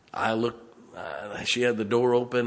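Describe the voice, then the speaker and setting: Over noticeable background noise and audible room echo, a man speaks at medium pitch and a moderate pace with monotone, flat intonation. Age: 50s. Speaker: pastor. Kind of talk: sermon. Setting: church.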